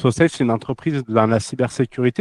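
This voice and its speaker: A man's medium-pitched, dark, mellow voice with a slight southern French accent, fairly quick delivery, fairly even intonation, and a dry, close sound with no echo. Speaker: cybersecurity company executive. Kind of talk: interview.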